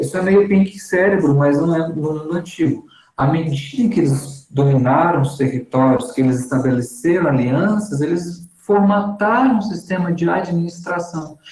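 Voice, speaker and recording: A man with a high voice speaks at a moderate pace with lively intonation and hardly any pauses. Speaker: seminary teacher. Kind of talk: lecture.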